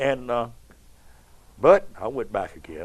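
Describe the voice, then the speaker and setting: At a moderate pace, a man talks with a Kentucky accent. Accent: Kentucky Southern US. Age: 70s. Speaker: stage performer. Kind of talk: interview. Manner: animated.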